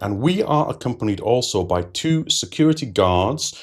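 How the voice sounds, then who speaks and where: Lively intonation marks this man's speech in a British accent. He talks at a moderate pace in a very clean recording with a silent background. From United Kingdom. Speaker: TV series reviewer. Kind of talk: video review commentary.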